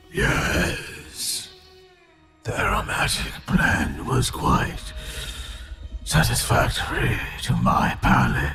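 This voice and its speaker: Using a put-on character voice, a man with a very deep, low pitch speaks at a very slow pace, leaving long, frequent pauses over faint music in the background. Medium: actual play. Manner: terse, formal, monotone.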